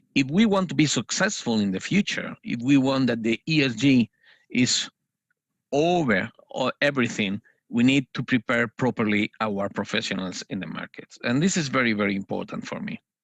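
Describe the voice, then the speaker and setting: With a non-native accent, a man of medium pitch speaks at a moderate pace with lively intonation, in a dry, close sound with no echo over a quiet background. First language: Spanish. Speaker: financial analyst trainer. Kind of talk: panel discussion. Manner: hesitant, many fillers.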